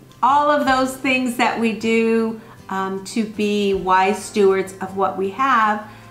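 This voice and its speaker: Faint music plays behind a woman whose speech shows ordinary pitch variation, with audible room echo. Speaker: homemaking vlogger. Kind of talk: casual vlog chat. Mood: earnest, reflective. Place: home room.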